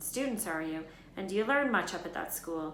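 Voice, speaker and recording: Over clear background noise, a woman performs a put-on character voice at a medium pitch. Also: moderate pace. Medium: read story. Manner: sorrowful, solemn.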